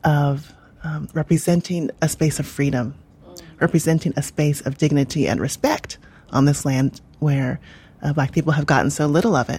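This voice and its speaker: A woman speaks at a very deep, low pitch in a dark, mellow tone. She sounds somewhat breathy and keeps a moderate pace. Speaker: history professor. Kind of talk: interview.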